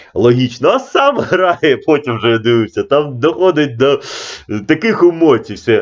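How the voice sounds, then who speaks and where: The speaker is a man with a moderate pace. Very wide swings mark his pitch. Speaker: chess coach. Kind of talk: casual video commentary. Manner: informal, digressive.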